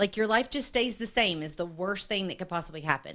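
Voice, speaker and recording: A woman speaks at a fairly quick pace in a normal speaking voice, her intonation lively. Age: 50s. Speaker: network marketing leader. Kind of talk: interview conversation.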